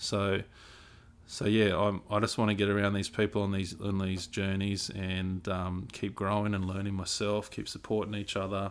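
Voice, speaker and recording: A man with an Australian accent speaks at a fairly low pitch. His intonation is flat and monotone. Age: 40s. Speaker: podcast co-host, youth mentor. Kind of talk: casual chat.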